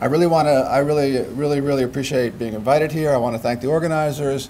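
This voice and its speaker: There is noticeable background noise and audible room echo as a man speaks at medium pitch with ordinary pitch variation. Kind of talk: lecture. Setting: stage with audience.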